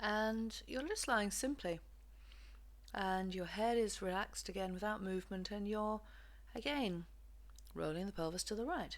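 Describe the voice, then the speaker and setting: With an English accent, a woman speaks at a moderate pace and medium pitch, using ordinary pitch variation and long, frequent pauses. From England. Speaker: physiotherapist and movement practitioner. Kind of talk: guided movement lesson instructions. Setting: home recording.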